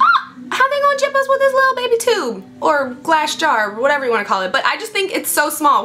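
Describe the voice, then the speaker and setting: Music plays in the background. The speaker talks at a fairly quick pace. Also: woman. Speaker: beauty vlogger. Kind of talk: product review vlog. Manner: fast; animated.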